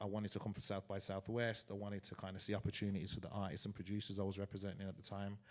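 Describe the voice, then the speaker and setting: A man with a fairly low pitch talks very fast in an English accent. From England, Wolverhampton (West Midlands). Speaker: DJ and event promoter. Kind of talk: live panel conversation. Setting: stage with live audience.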